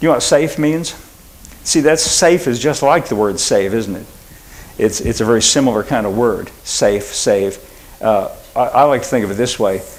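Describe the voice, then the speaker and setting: Lively intonation in an American accent comes at a moderate pace, with audible room echo and noticeable background noise. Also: man, medium pitch for a man. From Oklahoma. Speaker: pastor. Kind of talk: sermon. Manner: quiet, self-described; conversational, halting with fillers.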